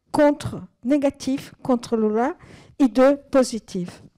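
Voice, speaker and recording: A woman with a high-pitched yet dark, mellow tone speaks at a very slow pace with ordinary pitch variation, recorded dry and close with no echo. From Brazil. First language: Portuguese (speaking French). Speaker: audience member. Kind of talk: audience question. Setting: cinema hall with audience.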